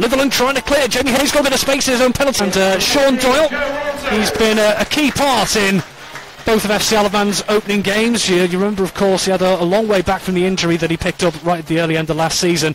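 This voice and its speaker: Over noticeable background noise, a man with a high pitch speaks at a very fast pace in an animated tone, his intonation lively and his loudness very even. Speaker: football commentator. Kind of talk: live match commentary. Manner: fast, fluent play-by-play delivery; urgent and animated, rising at chances and set pieces.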